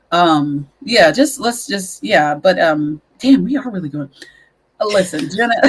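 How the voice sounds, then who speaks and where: A somewhat breathy woman's voice of medium pitch, very wide pitch swings, and a fairly slow pace. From US South. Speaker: podcast host. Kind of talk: casual chat.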